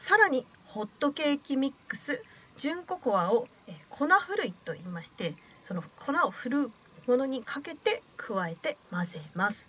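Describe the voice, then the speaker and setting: In a raised, projected voice, the speaker moves at a fairly slow pace with very wide pitch swings. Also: woman. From Osaka, Japan. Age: 20s. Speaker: radio host and young actress. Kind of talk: radio show narration. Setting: radio studio. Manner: formal, polite. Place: studio. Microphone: studio mic.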